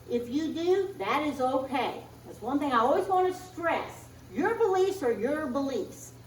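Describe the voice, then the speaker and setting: The speaker moves at a fairly slow pace with lively intonation and big swings in loudness. Audible room echo and noticeable background noise are present. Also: woman, high pitch for a woman. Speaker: minister giving Sunday message. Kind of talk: sermon. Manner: halting.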